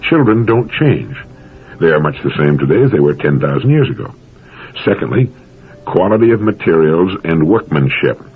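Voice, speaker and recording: A man with a fairly low pitch speaks at a moderate pace, with long, frequent pauses. His pitch swings very widely over noticeable background noise. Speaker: motivational speaker. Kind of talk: motivational talk.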